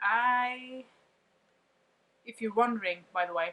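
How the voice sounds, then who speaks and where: A woman with a non-native accent speaks at a fairly slow pace. Her voice is medium in pitch with ordinary pitch variation. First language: not English. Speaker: vlogger. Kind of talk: casual monologue reading from notes.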